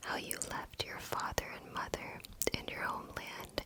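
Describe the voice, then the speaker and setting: Over a fairly slow pace, a whisper comes through with noticeable background noise around it. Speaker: ASMR content creator. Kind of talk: Bible reading for sleep. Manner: slow, soft-spoken.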